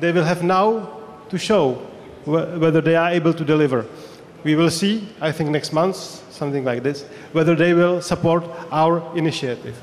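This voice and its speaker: A man with a Czech accent talks at a moderate pace in a high pitch, with long, frequent pauses. Noticeable background noise sits behind him. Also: ordinary pitch variation. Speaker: politician. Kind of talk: panel discussion.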